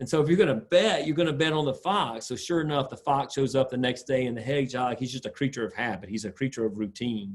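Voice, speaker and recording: Speaking at a very fast pace with hardly any pauses, a man with a Southern accent uses lively intonation at a medium pitch. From US South, South Carolina (Sumter). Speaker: sport psychologist. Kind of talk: lecture.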